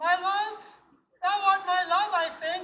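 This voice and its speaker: A squeaky, put-on character voice at an extremely high pitch, monotone and flat, at a fairly slow pace. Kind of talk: comic overacting. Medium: stage play.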